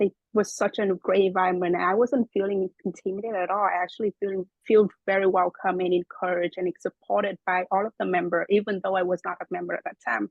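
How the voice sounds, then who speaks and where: A woman with a Vietnamese accent speaks very fast at medium pitch in a monotone, flat intonation. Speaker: web developer, club president. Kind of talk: interview. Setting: podcast recording.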